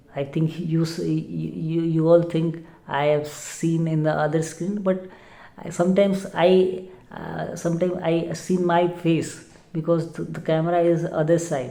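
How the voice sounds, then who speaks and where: A woman with a fairly low pitch speaks in monotone, flat intonation, with audible room echo and noticeable background noise. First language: not English. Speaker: English learner vlogger. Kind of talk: casual vlog monologue. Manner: halting, many fillers and repeats.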